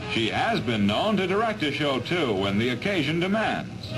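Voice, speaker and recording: Over music in the background, a man speaks at a moderate pace with very wide pitch swings and very even loudness. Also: fairly high pitch for a man. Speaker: newsreel narrator. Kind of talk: 1940s newsreel narration. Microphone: old recording.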